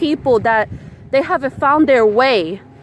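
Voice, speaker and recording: Over noticeable background noise, a woman speaks with a high pitch and lively intonation. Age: 30s. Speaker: spiritual vlogger. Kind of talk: casual vlog monologue. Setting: outdoors at the beach.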